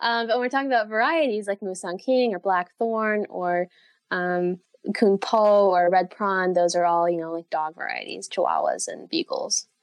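With an American accent, this is a normal speaking voice. It moves at a moderate pace with lively intonation. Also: woman, medium pitch for a woman. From United States. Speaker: durian blogger and tour guide. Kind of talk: interview.

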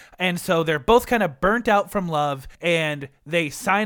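A bright, sharp tone carries pitch that shifts in an ordinary way. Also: man. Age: 20s. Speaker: podcast co-host. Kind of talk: casual chat.

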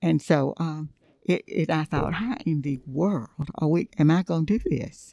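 A woman's very deep, low voice, dark and mellow in tone, at a fairly slow pace in a Southern US accent, with a dry, close sound and no echo. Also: ordinary pitch variation. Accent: Southern US (Georgia). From US South, Thompson, Georgia. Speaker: Bible teacher. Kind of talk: casual chat.

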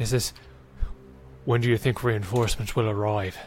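Clear background noise sits behind a man using a put-on character voice at a medium pitch and moderate pace. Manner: grumbling.

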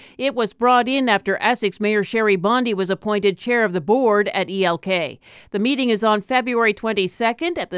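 A plain, everyday voice keeps a moderate pace with ordinary pitch variation, recorded very cleanly with a silent background. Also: woman, hardly any pauses. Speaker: local news anchor. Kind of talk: newsreading, brisk scripted local news bulletin. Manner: brisk, even and businesslike.

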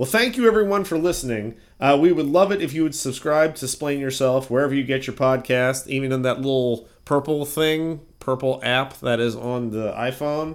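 A man with a normal speaking voice and a fairly high pitch talks at a moderate pace with ordinary pitch variation and hardly any pauses. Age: 40s. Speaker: podcast host. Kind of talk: casual chat; mock sponsor ad read.

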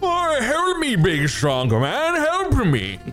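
Clear background music behind a man's put-on character voice, extremely high in pitch and fairly slow in pace. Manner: pleading, panicked.

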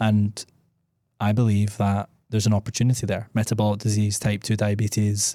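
A man's fairly low, dark, mellow voice at a fairly quick pace, monotone and flat. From Scotland. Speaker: podcast host. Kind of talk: casual chat.

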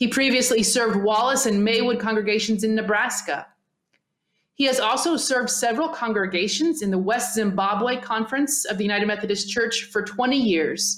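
A woman with a normal speaking voice, fairly high pitch and ordinary pitch variation at a moderate pace. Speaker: podcast host. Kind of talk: podcast conversation.

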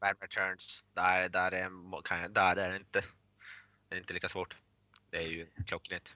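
A man speaks fairly slowly with a very deep, low pitch. His intonation is flat and monotone, broken by long, frequent pauses. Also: very clean recording, silent background. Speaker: podcast co-host. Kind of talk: casual chat.

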